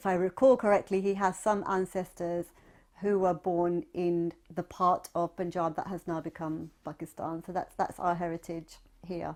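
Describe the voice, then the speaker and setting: A woman with a British accent, fairly low in pitch, fairly even in intonation, at a moderate pace, on a very clean recording with a silent background. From Southwest London, England. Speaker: oral history interviewee, writer. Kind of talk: oral history testimony.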